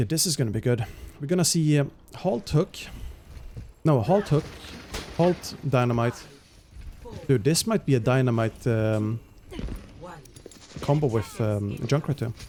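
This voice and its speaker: Lively intonation marks a man's speech, broken by long, frequent pauses. Noticeable background noise runs underneath. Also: medium pitch for a man, moderate pace. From Sweden. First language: Swedish. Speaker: esports caster and streamer. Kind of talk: live commentary. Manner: hesitant, many fillers.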